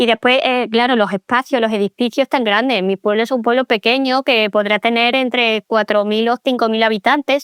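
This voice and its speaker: Delivered at a moderate pace with hardly any pauses, the speech keeps a very even loudness and fairly even intonation. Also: woman, fairly high pitch for a woman, dry, close sound with no echo. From Andalusia, Spain (small town near Seville). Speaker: pedagogue and author. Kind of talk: interview conversation. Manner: hesitant, many repetitions.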